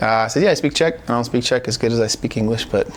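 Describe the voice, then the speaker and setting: In a West Coast accent, a man with a medium-pitched voice speaks at a very fast pace. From Portland, Oregon. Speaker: salesperson. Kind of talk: casual interview.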